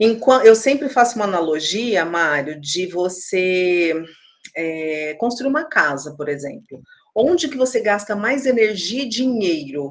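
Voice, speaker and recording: A woman's medium-pitched voice with very wide pitch swings at a fairly slow pace. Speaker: HR consultant. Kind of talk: casual interview.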